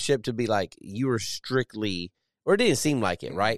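With a normal speaking voice, a man talks at a moderate pace and medium pitch with lively intonation, recorded dry and close with no echo against a quiet background. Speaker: podcast host, Navy sailor. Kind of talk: casual interview conversation. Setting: studio. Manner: casual, profane.

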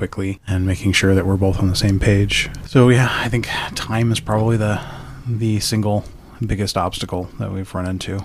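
A somewhat breathy man speaks at a fairly quick pace. His intonation is monotone and flat. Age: 40s. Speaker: podcast guest. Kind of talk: casual chat.

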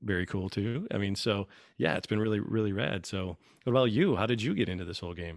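A man talks very fast at a fairly low pitch with ordinary pitch variation. The recording is very clean, with a silent background. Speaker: podcast guest. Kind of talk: casual chat.

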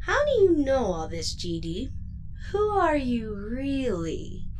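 Over clear background noise, a female-sounding put-on character voice speaks at a very slow pace. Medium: audio drama. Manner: warm, level-headed.

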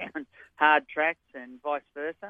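He speaks with an Australian accent. His pitch is fairly high. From New South Wales, Australia. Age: 60s. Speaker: retired jockey. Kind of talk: interview.

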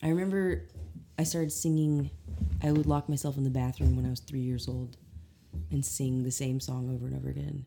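A woman with a very deep, low pitch swings very widely in pitch at a fairly quick pace, with long, frequent pauses and music in the background. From Arkansas Ozarks, Eureka Springs area. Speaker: singer and multi-instrumentalist. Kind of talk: casual interview chat. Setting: at her house in New Orleans.

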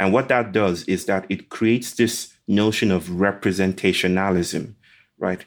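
A man with a Nigerian accent speaks at a fairly slow pace. His intonation stays fairly even. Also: fairly low pitch for a man, very clean recording, silent background. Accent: Nigerian (Yoruba) English. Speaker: author and speaker. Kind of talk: interview.

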